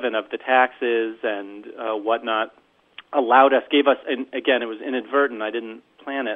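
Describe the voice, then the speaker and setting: An American accent marks this man's unremarkable speaking voice, pitched at a medium level. He talks at a fairly slow pace with fairly even intonation. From northern New Jersey. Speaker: farmer. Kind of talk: casual interview. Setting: phone call.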